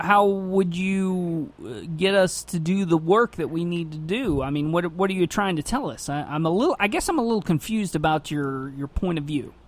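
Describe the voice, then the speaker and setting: A man speaks with an American accent. His pitch is high, with ordinary variation. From US Midwest. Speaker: radio host. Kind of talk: casual chat. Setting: studio. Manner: halting.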